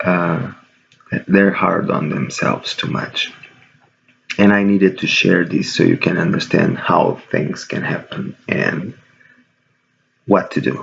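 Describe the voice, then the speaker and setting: A man speaks quietly at a very slow pace. His speech has long, frequent pauses. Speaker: video blogger. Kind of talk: casual vlog monologue. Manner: quiet, low-key.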